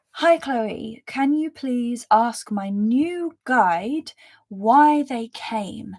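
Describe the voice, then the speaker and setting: A woman with a London accent speaks at a fairly high pitch with ordinary pitch variation. The recording is very clean, with a silent background. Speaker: spiritual reader and mentor. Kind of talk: live stream reading chat. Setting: live stream with chat. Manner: casual, filler-heavy.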